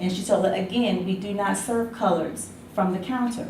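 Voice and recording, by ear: Someone with an American accent and a slightly mellow tone speaks at a moderate pace with ordinary pitch variation, and room echo can be heard. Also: woman, medium pitch for a woman.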